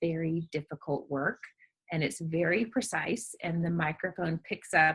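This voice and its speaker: At a fairly slow pace, a woman talks in a bright, sharp tone with a slight Southern US accent. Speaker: novelist. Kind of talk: interview.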